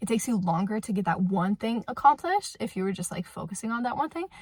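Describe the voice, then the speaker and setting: A woman's voice is somewhat breathy and medium in pitch. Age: 20s. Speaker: vlogger and stay-at-home mom. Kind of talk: casual Q&A chat to camera.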